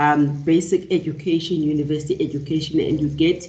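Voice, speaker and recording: A woman with a South African accent and a very deep, low pitch, amid audible room echo. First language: isiXhosa. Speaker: professor. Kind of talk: lecture. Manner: halting, many fillers and repeats.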